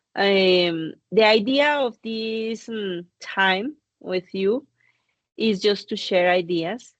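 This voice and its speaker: Against a quiet background, a woman with a Spanish accent talks at a medium pitch with ordinary pitch variation. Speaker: course director and lecturer. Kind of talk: online lecture. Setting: video call.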